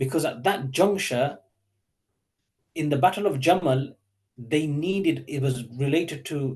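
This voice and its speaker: Somewhat breathy, a man's voice sits at a fairly high pitch. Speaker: Islamic teacher. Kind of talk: online lecture. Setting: online session with chat. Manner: fast; hesitant, many fillers.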